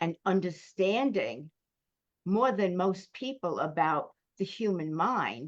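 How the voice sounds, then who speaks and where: A woman speaks at a medium pitch and a very slow pace. Her intonation is lively. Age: 80s+. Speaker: business and communications coach. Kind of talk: interview answer.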